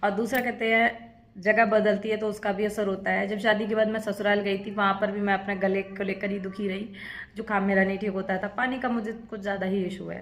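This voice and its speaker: The voice moves at a moderate pace with monotone, flat intonation and audible room echo. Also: woman, medium pitch for a woman. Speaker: vlogger. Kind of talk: casual vlog monologue. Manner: conversational.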